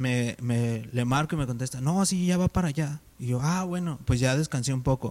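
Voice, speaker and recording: An ordinary speaking voice from a man, medium in pitch, at a moderate pace with ordinary pitch variation and hardly any pauses. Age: 20s. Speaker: church volunteer. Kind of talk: casual chat.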